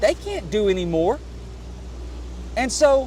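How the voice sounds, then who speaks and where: A man speaks at a moderate pace with an East Texas accent. Noticeable background noise runs behind him. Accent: East Texas Southern US. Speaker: congressional candidate and fishing vlogger. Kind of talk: casual appeal while vlogging. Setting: outdoors on a boat on a lake. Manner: animated.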